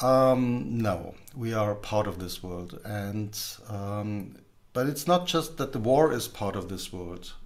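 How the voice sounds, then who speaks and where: Here a man delivers his words very slowly. The intonation stays lively throughout. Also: fairly low pitch for a man. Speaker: communication trainer and assessor. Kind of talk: casual conversation. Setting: video call. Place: home room.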